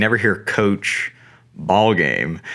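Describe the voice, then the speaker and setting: A man with an American accent, an unremarkable speaking voice and a fairly low pitch, at a fairly slow pace. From US South, North Carolina. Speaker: youth baseball coach. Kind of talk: interview.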